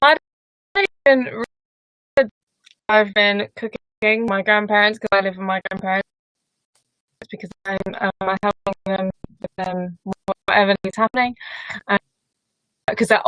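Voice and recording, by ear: A fairly bright, clear, smooth tone moves at a fairly slow pace with fairly even intonation, long, frequent pauses, and a dry, close sound with no echo. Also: woman, medium pitch for a woman.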